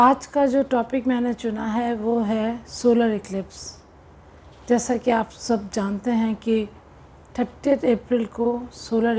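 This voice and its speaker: A woman with a non-native accent speaks at a fairly high pitch. Her intonation stays fairly even. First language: not Hindi (speaking Hindi). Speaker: spiritual coach. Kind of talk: spiritual talk to camera.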